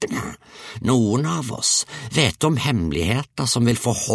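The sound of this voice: What we hear is someone reading in an unforced reading voice.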